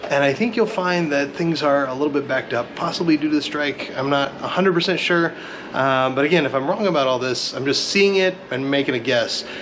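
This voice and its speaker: A man speaks fairly quickly in a fairly high voice with ordinary pitch variation. Noticeable background noise can be heard. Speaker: car YouTuber. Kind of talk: casual vlog walkthrough. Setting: Corvette museum, indoors. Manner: casual, hesitant with fillers.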